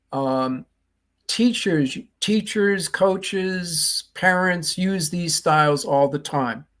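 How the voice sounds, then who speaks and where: A man with a Boston accent speaks at a very slow pace with ordinary pitch variation. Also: very clean recording, silent background. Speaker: leadership trainer and author. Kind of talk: interview.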